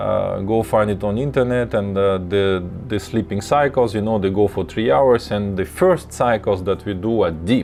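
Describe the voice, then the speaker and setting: A man's fairly low voice with a Russian accent, at a moderate pace with ordinary pitch variation, over background music. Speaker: lucid dreaming teacher. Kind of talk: live tutorial. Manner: halting, many fillers and repeats.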